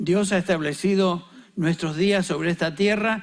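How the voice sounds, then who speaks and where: The recording is very clean, with a silent background. A man talks at a high pitch with ordinary pitch variation. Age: 70s. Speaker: pastor. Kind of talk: sermon.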